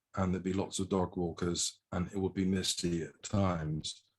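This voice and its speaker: In an English accent, a man with a very deep, low pitch speaks in a monotone, flat intonation. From England. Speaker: haiku poet. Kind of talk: presentation.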